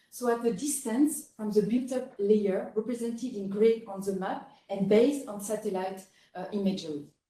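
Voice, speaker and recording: With a French accent, a woman speaks at a fairly slow pace in a somewhat breathy, dark, mellow tone at a fairly high pitch. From France. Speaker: researcher, geographer. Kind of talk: conference presentation. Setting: conference session with audience.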